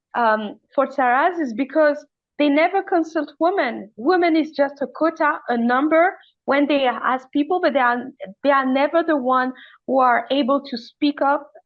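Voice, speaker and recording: Speaking with a French accent, a woman uses a high pitch. Her pace is moderate, with ordinary pitch variation. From Madagascar. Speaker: climate activist. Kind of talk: panel discussion. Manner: halting, many fillers and restarts.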